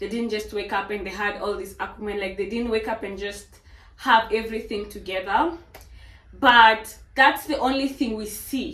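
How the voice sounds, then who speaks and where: A woman speaks at a moderate pace in a fairly high voice with ordinary pitch variation. Her loudness swings widely amid audible room echo. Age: 20s. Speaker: fitness trainer and vlogger. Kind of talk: casual motivational monologue.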